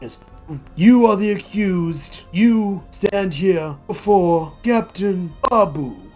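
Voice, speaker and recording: A female-sounding put-on character voice at a medium pitch, very slow in pace, with faint music in the background. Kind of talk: formal, stern. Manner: slow, labored.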